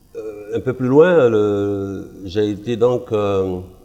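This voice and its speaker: A man's fairly low voice over background music. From Ivory Coast. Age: 60s. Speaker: pastor. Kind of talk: testimony.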